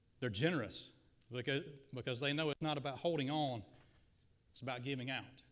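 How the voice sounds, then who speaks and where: A man with an American accent talks at a fairly quick pace in a fairly high voice, with ordinary pitch variation and long, frequent pauses. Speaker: guest preacher. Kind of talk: sermon. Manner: energetic, addresses audience directly. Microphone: slight echo and feedback from PA.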